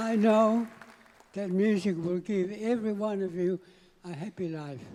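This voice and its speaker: Crowd noise runs in the background as the speaker talks at a moderate pace. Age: 90s. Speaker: veteran musician, award recipient. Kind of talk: acceptance speech.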